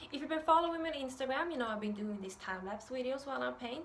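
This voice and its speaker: With a Swedish accent, a woman speaks at a fairly high pitch and with lively intonation, with audible room echo around her. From Sweden. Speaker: art youtuber. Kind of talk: tutorial intro. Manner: hesitant, many fillers.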